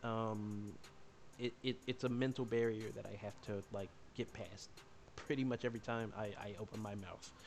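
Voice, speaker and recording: Soft-spoken and monotone, a man at medium pitch talks at a moderate pace with flat intonation. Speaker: streamer. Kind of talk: casual livestream chat. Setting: livestream with chat. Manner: halting, many repetitions.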